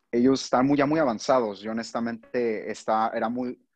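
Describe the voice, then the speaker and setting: Here a man talks rather slowly. The rise and fall of his pitch is ordinary. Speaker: student. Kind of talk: casual chat. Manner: halting.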